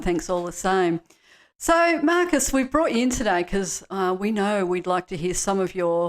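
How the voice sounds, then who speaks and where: Here a woman speaks in an Australian accent. Her pitch is medium and her pace moderate. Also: very clean recording, silent background. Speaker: podcast host / interviewer. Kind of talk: interview questions.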